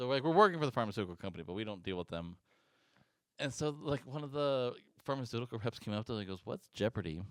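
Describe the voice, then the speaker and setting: A man speaks at a very fast pace with lively intonation. His pitch sits in the medium range. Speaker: podcast co-host; event technology worker. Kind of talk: casual chat.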